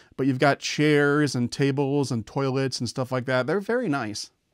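Man at a fairly quick pace, dry with no echo, in a quiet background. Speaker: model train reviewer. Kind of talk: product review narration. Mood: enthusiastic. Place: home room.

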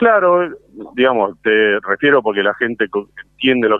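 Here a man talks with a Rioplatense accent. His pace is moderate. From Ramos Mejía, Buenos Aires, Argentina. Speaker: butcher shop owner. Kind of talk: interview. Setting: phone call.

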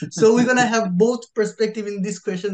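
A man speaks in a quiet setting, his intonation fairly even. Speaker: podcast host. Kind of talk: casual chat. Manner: halting. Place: home room. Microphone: video call.

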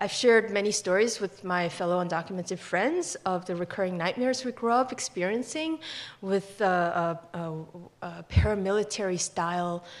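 Moderate pace and normal pitch variation. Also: woman. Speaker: immigrant rights activist; storyteller. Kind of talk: personal storytelling. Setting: stage with audience. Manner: impassioned. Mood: earnest, emotional. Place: hall. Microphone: podium.

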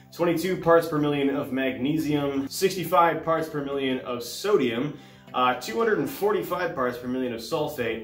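A man talks at a fairly slow pace with ordinary pitch variation. Audible room echo surrounds him, with faint music in the background. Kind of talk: tutorial. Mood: relaxed and friendly. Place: home room.

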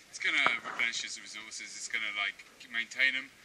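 A man talking at a very fast pace over noticeable background noise. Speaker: zipline tour guide. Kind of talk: tour guide explanation to a group. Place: forest. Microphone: camera far.

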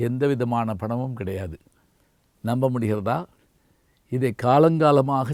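The recording is very clean with a silent background. It is a plain, everyday voice with ordinary pitch variation. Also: man. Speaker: retired Tamil professor and orator. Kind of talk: memorial tribute. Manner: measured, formal.

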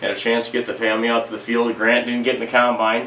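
With audible room echo, a man talks at a fairly quick pace, his fairly low pitch carrying a fairly bright tone.

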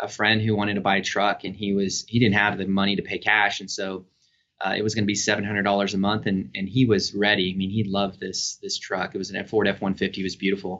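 A man with a fairly low pitch, monotone flat intonation, and a very fast pace. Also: quiet background. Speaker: remote guest. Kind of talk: interview answer. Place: home room. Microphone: video call.

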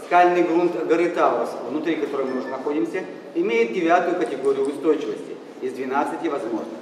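Noticeable background noise and audible room echo surround the recording. A man speaks at a fairly quick pace with a high pitch. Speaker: museum tour guide. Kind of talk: guided tour narration. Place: tunnel cave. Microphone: camera far.

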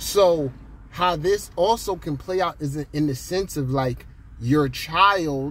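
A man speaks very slowly in a fairly high, somewhat breathy voice. His pitch varies in an ordinary way, and the sound is dry with no echo. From Jamaica. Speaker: astrologer. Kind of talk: casual monologue video. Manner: conversational, filler-heavy. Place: car. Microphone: phone near.

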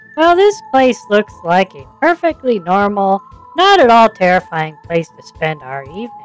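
A put-on character voice at a fairly high pitch, with very wide pitch swings, a moderate pace and faint music in the background. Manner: earnest, upbeat host.

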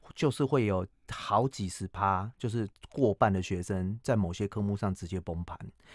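Against a quiet background, a man with a fairly low voice talks at a moderate pace, the sound dry with no echo. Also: ordinary pitch variation. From Taiwan. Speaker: cram school English teacher and author; cram school English teacher. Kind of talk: radio interview. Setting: radio studio. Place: studio. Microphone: studio mic.

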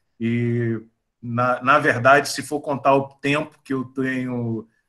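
In a bright, sharp tone, a man speaks with monotone, flat intonation against a quiet background. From Bahia, Brazil. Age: 50s. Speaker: chemical engineering professor. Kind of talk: casual chat. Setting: video call. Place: home room. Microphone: video call.

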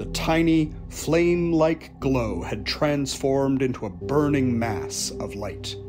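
Over music in the background, the speaker goes at a very slow pace with hardly any pauses and lively intonation. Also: man, medium pitch for a man. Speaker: storyteller and author. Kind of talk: folklore storytelling.

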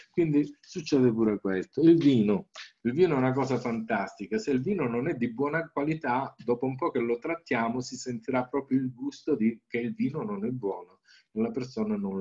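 Against a quiet background, a man with a dark, mellow tone talks at medium pitch with lively intonation. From Calabria, southern Italy. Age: 60s. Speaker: naturopath and Reiki teacher; Reiki teacher. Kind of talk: presentation with slides. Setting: video call. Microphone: webcam.

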